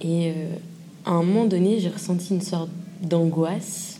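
Speech comes at a moderate pace with fairly even intonation. Audible room echo surrounds the voice. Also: woman. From southern Paris suburbs. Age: 20s. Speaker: interviewee sharing experience. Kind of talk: testimony.

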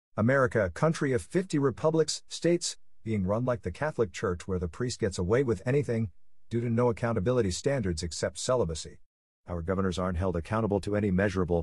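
Lively intonation marks a man's fairly low, somewhat breathy voice at a very fast pace. The recording is very clean, with a silent background. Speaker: podcast narrator. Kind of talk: scripted narration. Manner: formal.

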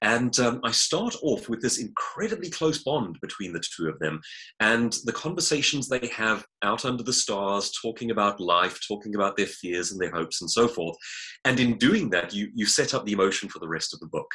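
A man's medium-pitched voice with a South African accent, bright and sharp in tone, at a moderate pace with lively intonation. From South Africa (Johannesburg). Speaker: author and public speaker. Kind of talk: interview.

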